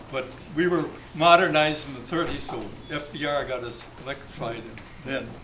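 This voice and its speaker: With an American accent, a man speaks at a fairly quick pace and fairly high pitch, showing ordinary pitch variation, long, frequent pauses and big swings in loudness, with audible room echo. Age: 80s+. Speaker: war veteran. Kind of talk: birthday speech. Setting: restaurant party with audience. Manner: halting.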